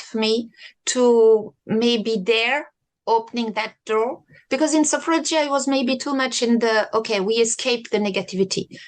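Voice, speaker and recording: Here a woman speaks in a French accent at a fairly high pitch. Her pitch variation is ordinary. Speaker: sophrology practitioner. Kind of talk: interview conversation.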